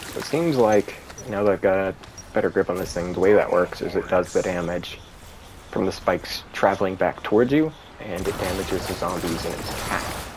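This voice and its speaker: The speaker talks at a fairly quick pace with ordinary pitch variation, against noticeable background noise. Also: man, fairly low pitch for a man. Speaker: gaming streamer. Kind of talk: gameplay commentary. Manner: casual with many fillers.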